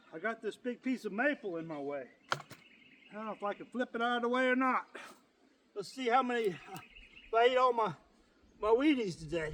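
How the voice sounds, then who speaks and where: A man's extremely high-pitched voice at a fairly quick pace, with lively intonation, big swings in loudness, long, frequent pauses and noticeable background noise. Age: 50s. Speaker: chainsaw hobbyist youtuber. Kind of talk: casual narration while working outdoors. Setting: outdoors cutting wood. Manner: chatty, talks to himself.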